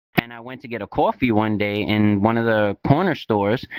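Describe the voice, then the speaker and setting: A man speaks with a New York accent at a medium pitch. The sound is dry and close, with no echo. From New York City (East New York, Brooklyn). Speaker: crypto investor and instructor. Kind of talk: casual interview. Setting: virtual reality talk show.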